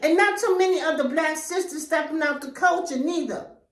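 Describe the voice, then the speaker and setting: Loud and animated, a woman speaks at an extremely high pitch with ordinary pitch variation and a moderate pace, and audible room echo surrounds her. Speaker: YouTuber. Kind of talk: vlog monologue.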